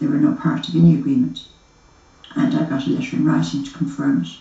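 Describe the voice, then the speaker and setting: A woman speaks with an Irish accent at a fairly quick pace. The room echo is audible. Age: 50s. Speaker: murder victim's widow. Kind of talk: interview testimony.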